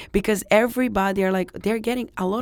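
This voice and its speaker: With a Serbian accent, a woman speaks at a medium pitch with ordinary pitch variation in a very clean recording against a silent background. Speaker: secondhand clothing store owner. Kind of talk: interview. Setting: studio. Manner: halting.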